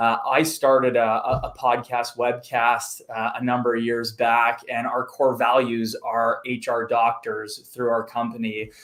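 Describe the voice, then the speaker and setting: With a slight Canadian accent, a man speaks at medium pitch in a monotone, flat way. He goes at a fairly slow pace with hardly any pauses. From Canada, Montreal. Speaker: recruitment firm owner. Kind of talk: casual interview chat.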